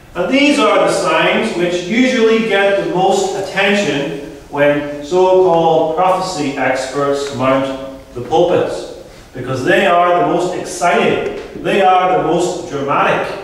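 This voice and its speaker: Strong room echo fills the sound as a man speaks at a very slow pace. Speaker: pastor. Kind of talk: sermon. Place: hall.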